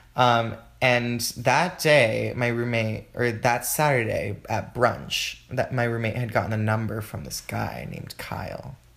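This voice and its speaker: In a plain, everyday voice with an American accent, a man talks at a fairly slow pace with hardly any pauses, using a medium pitch and ordinary pitch variation. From Texas, Houston, Mexican American household. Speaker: dancer and Pilates instructor. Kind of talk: casual chat.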